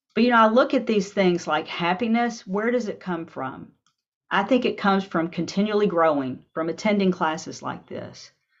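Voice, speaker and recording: At a moderate pace, a woman with a normal speaking voice and medium pitch talks with lively intonation. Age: 60s. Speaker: workshop presenter. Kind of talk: workshop presentation.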